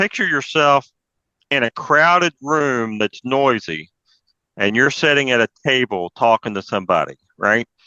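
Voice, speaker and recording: A man's bright, sharp tone with an Appalachian accent and lively intonation, dry and close with no echo against a quiet background. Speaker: amateur radio presenter. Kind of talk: presentation talk. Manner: casual, conversational.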